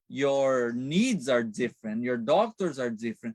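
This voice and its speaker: A man's voice with very wide pitch swings at a fairly slow pace, in a dry, close sound with no echo. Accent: Brazilian. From Brazil. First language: Portuguese. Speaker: Medicare counselor. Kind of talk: interview. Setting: live stream.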